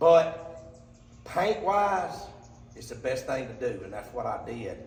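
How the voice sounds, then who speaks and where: Someone with an Alabama accent speaks at a very slow pace with big swings in loudness, amid noticeable background noise and audible room echo. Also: man. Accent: Southern US (Alabama). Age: 60s. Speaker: cooker fabricator. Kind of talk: product walkthrough video. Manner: casual, rambling with fillers.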